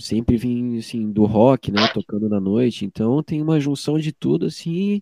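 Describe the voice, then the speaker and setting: An unremarkable speaking voice with lively intonation moves at a moderate pace, dry and close with no echo over a quiet background. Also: man. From Joinville, Santa Catarina, southern Brazil. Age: 20s. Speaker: musician. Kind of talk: interview. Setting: at home in his bedroom.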